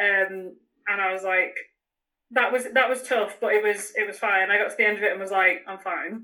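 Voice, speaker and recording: Speaking at a fairly quick pace, a woman with a northern English accent has a bright, sharp tone. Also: medium pitch for a woman, fairly even intonation. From northern England. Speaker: runner. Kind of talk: casual chat. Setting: video call.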